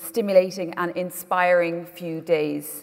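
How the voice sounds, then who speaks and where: With an Irish accent, a woman speaks at a medium pitch over noticeable background noise. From Ireland. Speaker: conference host, broadcaster. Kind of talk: conference moderation. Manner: hesitant fillers (um, uh).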